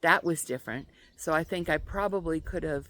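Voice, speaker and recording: A woman at a fairly slow pace with ordinary pitch variation, in a very clean recording over a silent background. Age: 70s. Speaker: homesteader and farm vlogger. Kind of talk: casual vlog monologue. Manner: halting, many fillers.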